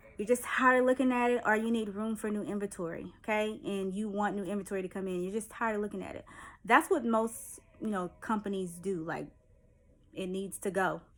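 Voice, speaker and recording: At a fairly quick pace, a woman talks with medium pitch and ordinary pitch variation. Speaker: online seller giving business tips. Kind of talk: tutorial. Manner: fast; casual, chatty.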